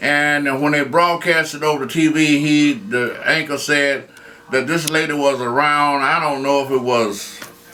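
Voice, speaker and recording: Over music in the background, a man with a fairly high pitch speaks in a Southern US accent with fairly even intonation. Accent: Southern American English. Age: 70s. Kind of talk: interview answer. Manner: hesitant.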